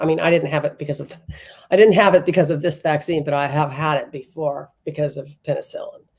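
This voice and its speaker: A woman speaks in a normal speaking voice. Her pitch is fairly low. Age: 60s. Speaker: tarot reader. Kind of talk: casual chat.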